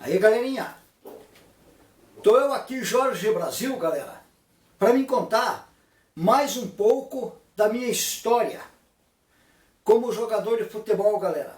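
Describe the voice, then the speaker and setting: Speaking at a fairly slow pace with long, frequent pauses, a man uses an extremely high pitch and ordinary pitch variation. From Brazil, Paraná (Curitiba area). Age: 60s. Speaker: former football player. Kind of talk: casual vlog monologue. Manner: informal, repetitive.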